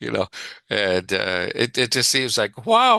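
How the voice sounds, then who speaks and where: A man's bright, sharp voice with a Canadian accent at a fairly slow pace. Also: quiet background. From Canada. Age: 70s. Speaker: psychologist. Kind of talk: interview. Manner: halting, many repeated words; animated.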